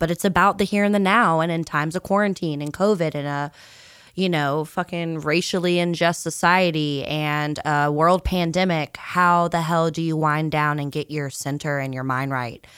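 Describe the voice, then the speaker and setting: In an American accent, a woman speaks in a plain, everyday voice, with a fairly low pitch, fairly even intonation and a moderate pace. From Virginia, US South. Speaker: podcast co-host, musician. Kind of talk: casual chat.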